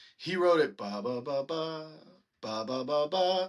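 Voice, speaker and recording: With an American accent, a man speaks in a bright, sharp tone against a quiet background. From Texas, Lake Dallas near Denton. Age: 30s. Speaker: singer-songwriter and band frontman. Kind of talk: casual interview chat.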